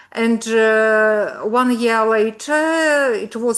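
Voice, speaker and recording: Over a quiet background, a woman with a Ukrainian accent speaks at a fairly high pitch with fairly even intonation. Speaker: pediatrics professor. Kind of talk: presentation. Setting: video call. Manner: halting.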